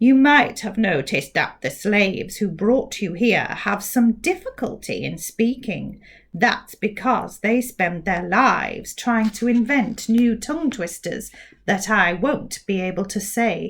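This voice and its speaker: A woman's put-on character voice, fairly high in pitch, on a very clean recording with a silent background. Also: fairly slow pace. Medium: read story. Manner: very careful, over-precise enunciation.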